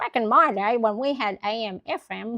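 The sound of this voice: A woman uses a put-on character voice pitched fairly high. Her pace is moderate.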